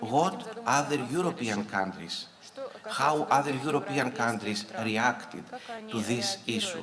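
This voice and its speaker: A man with a Greek accent talks at a fairly slow pace in a medium pitch, his pitch swinging very widely. There is noticeable background noise and audible room echo. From Greece. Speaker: conference speaker, early childhood educator. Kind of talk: conference talk. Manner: halting, many fillers.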